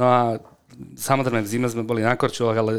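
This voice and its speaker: With a medium pitch and monotone, flat intonation, a man speaks on a very clean recording with a silent background. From Slovakia, Bratislava and Senec. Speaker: strength and conditioning coach. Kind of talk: interview conversation. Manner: hesitant with fillers.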